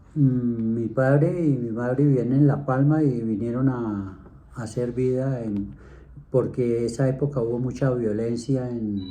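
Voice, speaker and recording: With audible room echo, a man at a medium pitch speaks at a fairly slow pace in a dark, mellow tone with fairly even intonation. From Colombia, Bogotá. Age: 70s. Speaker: grandfather interviewee. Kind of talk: interview.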